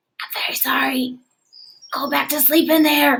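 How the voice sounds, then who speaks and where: A woman uses a put-on character voice, soft-spoken, raspy and whispering. She keeps a moderate pace. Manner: soft whisper, apologetic.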